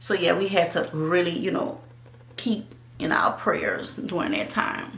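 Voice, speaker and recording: A woman speaks at a fairly slow pace in a New Orleans accent. The recording has audible room echo and noticeable background noise. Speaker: YouTuber and actress. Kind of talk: casual chat.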